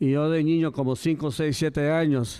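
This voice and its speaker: Here a man's dark, mellow tone sits at fairly high pitch with fairly even intonation. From Coachella, California (US). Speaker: county supervisor. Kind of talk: public speech. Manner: halting.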